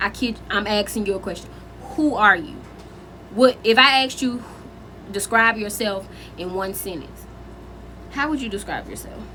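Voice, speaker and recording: Over noticeable background noise, a woman talks at a fairly high pitch and a moderate pace, with ordinary pitch variation and long, frequent pauses. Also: big swings in loudness. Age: 20s. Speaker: spiritual content creator. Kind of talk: casual talk to camera.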